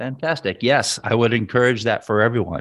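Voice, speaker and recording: A man's medium-pitched voice, an unremarkable speaking voice, in a dry, close recording with no echo. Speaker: podcast host. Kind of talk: casual interview chat.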